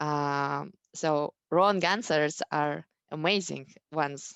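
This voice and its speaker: A woman with a non-native accent and ordinary pitch variation, in a dry, close sound with no echo over a quiet background. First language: not English. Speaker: math educator, school founder. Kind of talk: parent education talk. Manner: halting, many fillers.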